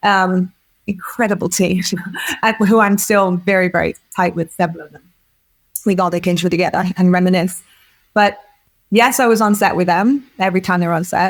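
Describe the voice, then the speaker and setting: A woman of medium pitch with an English accent talks at a fairly quick pace but takes long, frequent pauses. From England, village. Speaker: film producer. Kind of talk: interview. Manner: animated; halting.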